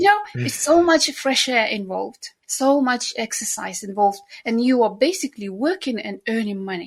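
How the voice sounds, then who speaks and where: A woman with a Central Asian accent talks at a moderate pace in a fairly high voice with very wide pitch swings. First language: not English (third language). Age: 50s. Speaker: nanny. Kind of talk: interview conversation. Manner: animated.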